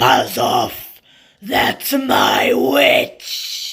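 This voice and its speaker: A man performs a put-on character voice that is shrill, croaky, growling and raspy. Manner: menacing.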